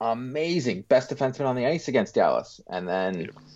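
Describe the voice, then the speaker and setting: In an unremarkable speaking voice, a man talks at a moderate pace and medium pitch with ordinary pitch variation against a quiet background. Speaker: hockey podcast co-host. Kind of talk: casual chat.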